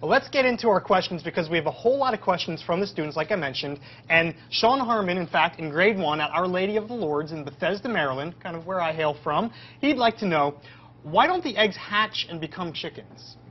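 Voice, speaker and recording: The speaker moves at a fairly quick pace, the tone animated and the intonation lively. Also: man, high pitch for a man. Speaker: educational livestream host. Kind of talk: live educational Q&A. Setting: on location at a farm. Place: farm machine.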